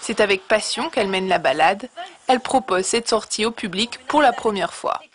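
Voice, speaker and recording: Over noticeable background noise, a woman talks at a fairly quick pace in a fairly high pitch with lively intonation. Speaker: TV news reporter. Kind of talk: TV news report narration.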